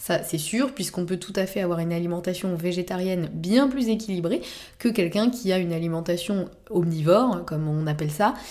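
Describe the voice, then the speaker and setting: Her tone is dark and mellow, with a fairly low pitch. The woman keeps a moderate pace and ordinary pitch variation. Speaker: naturopath podcast host. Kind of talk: solo podcast talk. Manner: hesitant, many fillers.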